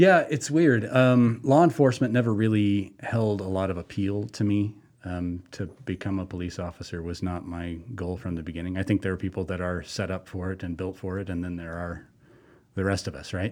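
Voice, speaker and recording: In a very clean recording with a silent background, a man with a very deep, low pitch and an American accent speaks at a fairly quick pace with ordinary pitch variation. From Colorado. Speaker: wildlife officer. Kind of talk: interview.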